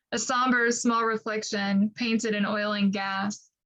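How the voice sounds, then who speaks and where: A woman's fairly high, plain, everyday voice in an American accent, with fairly even intonation. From Appalachian Ohio, Ross County. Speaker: poet. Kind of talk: poetry reading.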